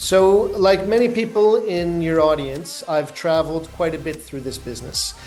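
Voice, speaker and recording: A man with a Canadian accent talks at a moderate pace with hardly any pauses, using a high pitch and ordinary pitch variation, amid noticeable background noise and audible room echo. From Canada. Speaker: recycling business director. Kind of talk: interview.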